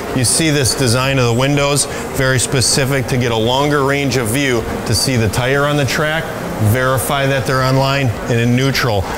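A man speaks at a moderate pace while noticeable background noise runs underneath. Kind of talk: promotional facility tour. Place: shop.

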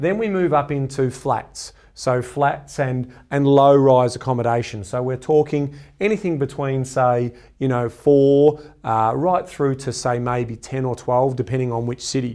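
Over a quiet background, the speech runs at a fairly slow pace with ordinary pitch variation. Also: man. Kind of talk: educational explainer to camera. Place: studio. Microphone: lapel.

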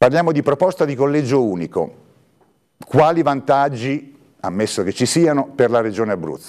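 A man's fairly high voice at a moderate pace, with lively intonation, long, frequent pauses and a quiet background. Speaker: journalist and interviewer. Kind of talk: moderated interview. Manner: halting, repeats words. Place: studio. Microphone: lapel.

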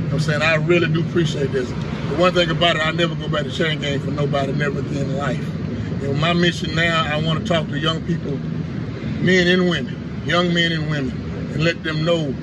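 A man speaks at a fairly quick pace against loud background noise. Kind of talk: interview answer. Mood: grateful, earnest. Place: street. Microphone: camera far.

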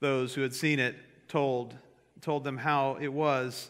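The voice has a bright, sharp tone over a quiet background. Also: man. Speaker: pastor. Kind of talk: scripture reading, then prayer and sermon. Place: church. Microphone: podium.

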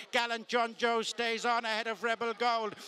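A man's raised, projected voice sits at an extremely high pitch. He holds a moderate pace in a monotone, flat intonation. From Ireland. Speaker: horse racing commentator. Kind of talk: live horse race commentary.

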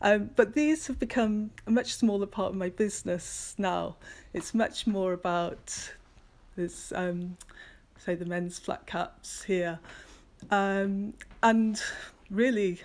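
A woman's very slow speech with long, frequent pauses and ordinary pitch variation. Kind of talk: casual studio tour talk. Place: workshop. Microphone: phone near.

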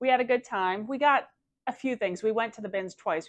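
Here a woman talks. Behind her, things stay quiet. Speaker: reseller vlogger. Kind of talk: casual vlog chat. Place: home room. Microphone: lapel.

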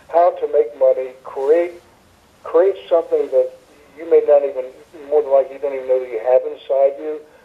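With an American accent, a man talks at a fairly quick pace, his loudness swinging widely over noticeable background noise. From Tampa, Florida. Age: 70s. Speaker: retired pro wrestler and wrestling trainer. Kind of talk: interview.

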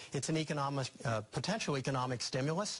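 Fairly high-pitched man at a fairly quick pace, with ordinary pitch variation

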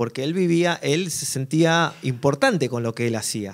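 Against a quiet background, a man with a fairly high pitch talks at a very slow pace with lively intonation. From Argentina. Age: 40s. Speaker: drummer and worship musician; speaker. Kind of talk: workshop talk to an audience. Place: stage. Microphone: handheld.

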